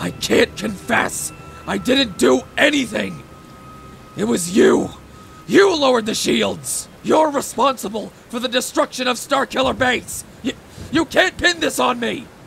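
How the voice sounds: A man's extremely high voice at a fairly slow pace, with clear background noise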